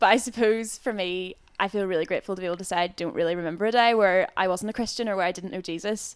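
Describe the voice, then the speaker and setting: A woman with a Northern Irish accent at a very fast pace, her pitch varying in an ordinary way. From Northern Ireland. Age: 20s. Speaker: youth and schools worker. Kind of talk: casual interview.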